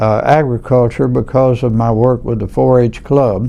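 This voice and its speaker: A man with a Louisiana accent speaks at a fairly slow pace. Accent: Southern US (Louisiana). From US South, Louisiana (Franklinton). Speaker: oral history interviewee, lawyer. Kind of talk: oral history interview. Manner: halting, many fillers.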